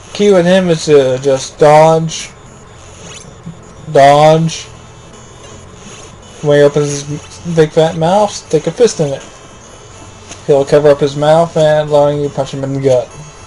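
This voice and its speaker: With music in the background, the speaker takes a fairly slow pace and an animated tone, leaving long, frequent pauses. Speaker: let's play gamer. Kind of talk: gameplay commentary. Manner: casual, animated.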